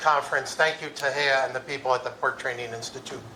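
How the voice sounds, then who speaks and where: Amid noticeable background noise and audible room echo, a man speaks at medium pitch with fairly even intonation. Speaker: conference keynote speaker. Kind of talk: conference talk. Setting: stage with audience.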